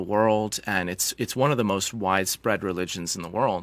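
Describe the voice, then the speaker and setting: In a very clean recording with a silent background, a man with a Canadian accent and a normal speaking voice talks at a moderate pace, his fairly low pitch carrying fairly even intonation. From British Columbia, Canada. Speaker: medical doctor and geoscientist. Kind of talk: interview conversation.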